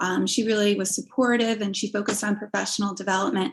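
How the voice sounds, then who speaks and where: A woman speaks with a slight New Jersey accent in a fairly high, somewhat breathy voice. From New Jersey, US. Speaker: assistive technology specialist, former special education teacher. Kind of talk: interview.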